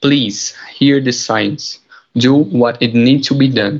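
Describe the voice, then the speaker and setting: A man with a Portuguese accent speaks at a very slow pace. His voice sits at a medium pitch with fairly even intonation. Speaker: podcast host (student role-play). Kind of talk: scripted school podcast.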